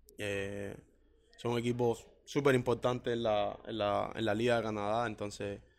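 Monotone, flat intonation from a man of medium pitch at a fairly slow pace. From Cuba. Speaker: professional footballer and songwriter. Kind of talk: interview. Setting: hotel lobby.

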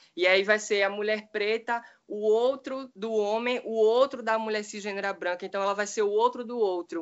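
A woman with an ordinary speaking voice and a fairly high pitch talks at a moderate pace with fairly even intonation and hardly any pauses. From Brazil, Recife. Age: young. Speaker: activist, writer and social work student. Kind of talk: panel discussion.

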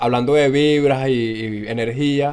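This man has a medium pitch and ordinary pitch variation, a normal speaking voice. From Venezuela, Valles del Tuy. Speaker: podcast co-host. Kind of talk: casual interview.

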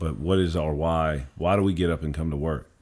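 A man with a Louisiana accent, a very deep, low pitch and fairly even intonation. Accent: Louisiana Southern. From Louisiana, Covington. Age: 30s. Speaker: middle school principal. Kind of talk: casual chat. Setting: studio.

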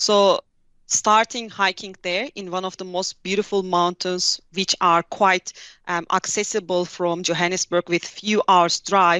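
The delivery is fairly slow and monotone, with flat intonation. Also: woman, medium pitch for a woman. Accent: Turkish. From Turkey, Hatay. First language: Turkish. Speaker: tech company specialist. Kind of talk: interview. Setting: video call.

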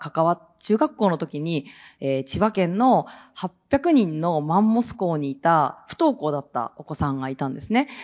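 Speaking at a fairly slow pace, a woman with a fairly low pitch swings very widely in pitch and makes big jumps in loudness. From rural Japan. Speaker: NPO founder. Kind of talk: panel discussion.

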